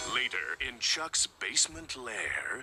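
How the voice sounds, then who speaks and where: A man performs a cartoonish character voice at medium pitch. He speaks at a fairly slow pace. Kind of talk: cartoon narration.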